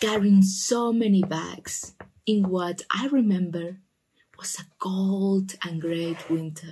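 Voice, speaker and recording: A soft-spoken woman at medium pitch, very slow, with ordinary pitch variation and big swings in loudness. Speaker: shoe-story ASMR channel host. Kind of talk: ASMR storytelling, casual talk to camera. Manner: soft-spoken, relaxing.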